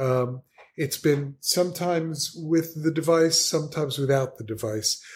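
A man with an American accent uses a normal speaking voice at a fairly high pitch. His loudness is very even, and his pitch variation is ordinary. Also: moderate pace. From New Jersey. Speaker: podcast guest. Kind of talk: casual chat.

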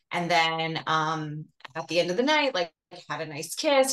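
Her intonation is lively and her pace moderate. The woman has a normal speaking voice. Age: 40s. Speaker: dating coaching client. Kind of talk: casual chat.

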